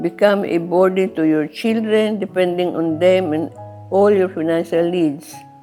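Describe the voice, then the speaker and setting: A woman at medium pitch with ordinary pitch variation, speaking at a fairly slow pace over music in the background. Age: 90s. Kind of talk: interview answer. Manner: gentle, soft-spoken.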